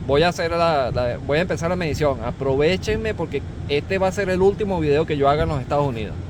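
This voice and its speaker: Very fast pace from a man with a fairly high pitch and ordinary pitch variation, amid noticeable background noise. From Venezuela. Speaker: corrosion engineer, instructor. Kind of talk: tutorial. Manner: animated.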